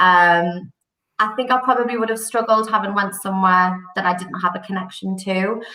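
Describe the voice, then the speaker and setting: With a Geordie accent, a woman at medium pitch speaks at a moderate pace with fairly even intonation amid audible room echo. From northern England, Newcastle. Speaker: recruitment company director. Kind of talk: podcast interview.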